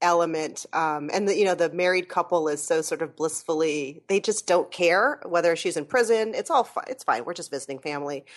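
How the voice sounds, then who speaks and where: A woman's normal speaking voice, fairly low in pitch and fairly quick, with hardly any pauses, ordinary pitch variation and a quiet background. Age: 40s. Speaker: podcaster. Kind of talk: casual chat. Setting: remote call with headset.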